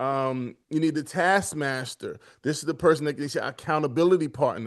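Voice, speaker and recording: A man with an American accent has an unremarkable speaking voice, fairly high in pitch with ordinary variation. He talks at a moderate pace against a quiet background. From Brooklyn, New York. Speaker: military veteran and educator. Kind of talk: podcast interview.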